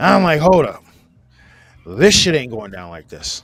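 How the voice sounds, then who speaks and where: A man speaks with music in the background. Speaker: father. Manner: talks quietly, low volume.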